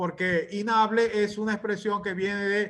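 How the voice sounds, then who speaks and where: With a Maracaibo accent, a man speaks at a high pitch for a man. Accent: Venezuelan Spanish, Maracaibo (maracucho). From Venezuela, Maracaibo. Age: 60s. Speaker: literature professor. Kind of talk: lecture. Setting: video call. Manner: halting, with frequent fillers.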